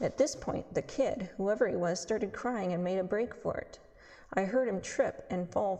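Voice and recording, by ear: With ordinary pitch variation, a natural voice reads the text aloud.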